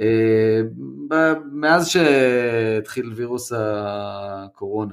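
The pitch of this voice swings very widely. It belongs to a man. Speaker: podcast co-host. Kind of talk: casual chat. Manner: halting, many fillers.

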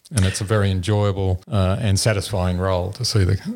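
An Australian-accented man with a very deep, low pitch, a dark, mellow, somewhat breathy tone, monotone, flat intonation and a fairly quick pace. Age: 60s. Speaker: engineering professor and competition judge. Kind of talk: interview. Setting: at a school competition event.

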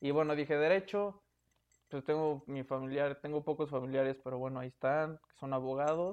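A man with a Mexican accent, fairly high-pitched for a man, at a fairly quick pace and with fairly even intonation. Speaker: podcast host. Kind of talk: casual chat.

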